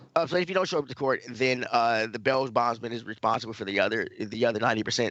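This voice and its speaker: A man talks very fast, his pitch medium and its variation ordinary. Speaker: podcast host. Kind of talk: casual chat. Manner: halting.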